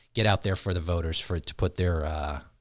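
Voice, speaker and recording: In a very clean recording with a silent background, a man with an American accent speaks very fast in a very deep, low, somewhat breathy voice. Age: 40s. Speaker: podcast host. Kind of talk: podcast interview.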